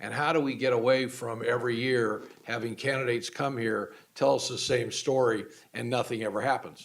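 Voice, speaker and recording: A man's medium-pitched voice, moderately paced, with fairly even intonation. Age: 60s. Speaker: community college board trustee. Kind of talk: public board meeting remarks. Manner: halting, with many repeated words.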